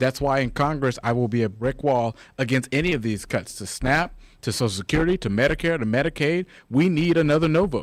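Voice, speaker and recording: The voice moves at a fairly quick pace with ordinary pitch variation. The recording is very clean, with a silent background. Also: man, fairly high pitch for a man. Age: young. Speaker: congressional candidate. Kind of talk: political talk radio interview. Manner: animated.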